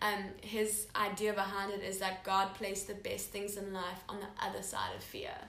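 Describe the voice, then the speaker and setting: A woman talks at a moderate pace with hardly any pauses, her intonation monotone and flat. Audible room echo and noticeable background noise are present. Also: medium pitch for a woman. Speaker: podcast host. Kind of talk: casual chat.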